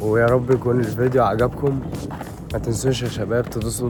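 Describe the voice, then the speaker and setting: Over noticeable background noise, a man rattles off words at a very fast pace in a flat monotone at a medium pitch. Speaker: travel vlogger. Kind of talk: vlog outro. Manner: halting.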